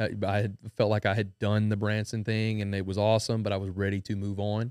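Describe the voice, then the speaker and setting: At a very fast pace, a man talks in a fairly low voice with fairly even intonation, the sound dry and close with no echo. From Louisiana, Denham Springs. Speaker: country musician. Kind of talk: casual chat. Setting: studio.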